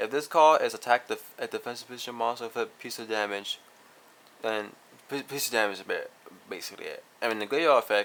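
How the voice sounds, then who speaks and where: This man talks very fast. The loudness of his voice swings widely. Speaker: card game YouTuber. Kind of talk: deck profile tutorial. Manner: halting, self-correcting.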